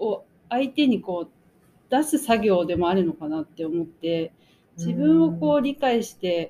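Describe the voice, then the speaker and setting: Her medium-pitched voice has a dark, mellow tone, and the woman's pitch swings very widely. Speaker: magazine editor and podcast co-host. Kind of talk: casual chat.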